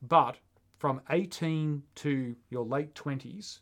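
A man speaks in a normal speaking voice, fairly high-pitched, with ordinary pitch variation, on a very clean recording with a silent background. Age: 40s. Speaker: podcast co-host, runner. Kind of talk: casual chat.

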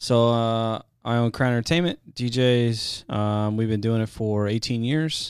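A man speaks at a medium pitch with fairly even intonation and an ordinary speaking voice. His pace is fairly slow on a very clean recording with a silent background. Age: 30s. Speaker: DJ and guest co-host. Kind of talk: casual chat. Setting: studio.

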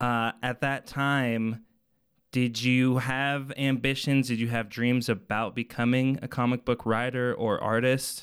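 A man at a medium pitch, monotone and flat in intonation, speaking at a fairly slow pace in a very clean recording with a silent background. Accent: American. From Colorado, Arvada. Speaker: podcast host. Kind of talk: casual interview.

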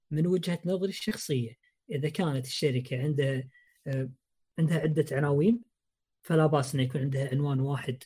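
Somewhat breathy, with a dark, mellow tone, a man speaks at a moderate pace with a fairly high pitch and ordinary pitch variation. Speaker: podcast host. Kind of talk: casual chat about video games.

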